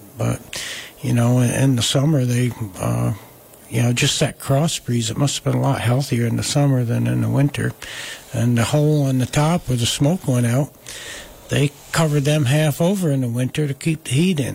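Noticeable background noise sits behind a man's voice. He speaks at a medium pitch with fairly even intonation. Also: moderate pace, very even loudness. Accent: American. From US Northeast, Catskills, Delaware County New York. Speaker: wood artist. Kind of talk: casual chat.

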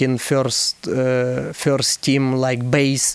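A man's voice, fairly high in pitch, with noticeable background noise. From Ukraine. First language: Ukrainian or Russian. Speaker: professional footballer. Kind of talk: interview. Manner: halting.

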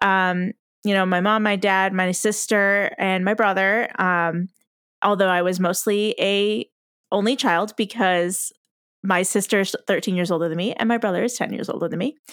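A woman with an American accent at medium pitch and a moderate pace, ordinary pitch variation, in a very clean recording with a silent background. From US Midwest, Iowa. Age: 30s. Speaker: podcast co-host. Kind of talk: casual chat.

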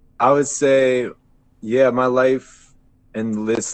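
A man talks at a very slow pace while music plays in the background. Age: 20s. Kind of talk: casual group chat.

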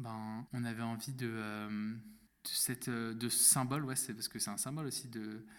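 The voice is a man's. He keeps his intonation fairly even. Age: 20s. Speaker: podcast guest sharing personal story. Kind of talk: testimony. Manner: halting, many fillers.

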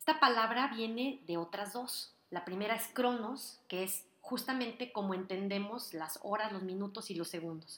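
A woman talks at a fairly slow pace in a medium pitch, with hardly any pauses. Her tone is bright and sharp, and her pitch varies in an ordinary way. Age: 40s. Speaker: author and motivational speaker hosting a podcast. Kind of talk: motivational monologue. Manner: warm, upbeat.

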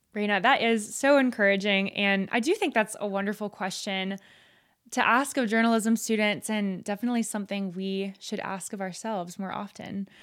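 A woman with an American accent speaks in a plain, everyday voice at a medium pitch, with fairly even intonation and a moderate pace. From coastal Georgia, US South. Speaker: podcast host. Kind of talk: interview. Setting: video call.

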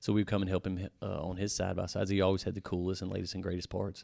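This is a man's voice. He speaks with a Louisiana accent. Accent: Louisiana Southern US. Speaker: powersports shop owner and off-road builder. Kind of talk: casual chat. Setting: in a powersports shop.

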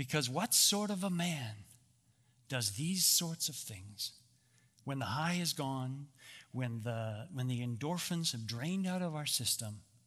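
A man's fairly high voice in a Canadian accent, with lively intonation, a fairly slow pace, long and frequent pauses, and audible room echo. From Canada. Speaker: ministry founder and speaker. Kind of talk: talk at a men's church gathering.

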